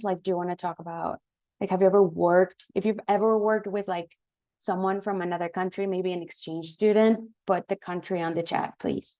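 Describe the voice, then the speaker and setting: A woman with a Spanish accent speaks at a fairly quick pace in a dark, mellow tone, her medium pitch and fairly even intonation set against a quiet background. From Mexico. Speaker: marketing professional. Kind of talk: guest lecture.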